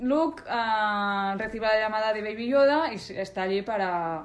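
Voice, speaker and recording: Lively intonation from a woman at medium pitch, very slow in pace, with audible room echo. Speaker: podcast co-host. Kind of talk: casual chat. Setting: at a co-host's home.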